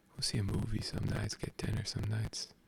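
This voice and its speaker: Moderate-paced whispering beneath noticeable background noise. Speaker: ASMR creator. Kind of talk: casual ASMR chat. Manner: animated.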